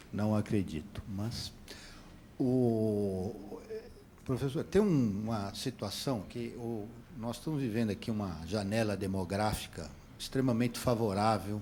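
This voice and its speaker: A man speaks at a very slow pace in a fairly low pitch. His tone is dark and mellow, with ordinary pitch variation. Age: 60s. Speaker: audience member asking a question. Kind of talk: heated debate. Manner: halting, many repetitions.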